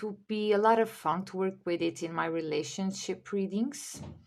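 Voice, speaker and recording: With a Portuguese accent, a woman speaks at medium pitch and a fairly slow pace, with ordinary pitch variation. The recording is very clean and the background silent. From Portugal. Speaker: tarot reader and video creator. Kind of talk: casual haul video.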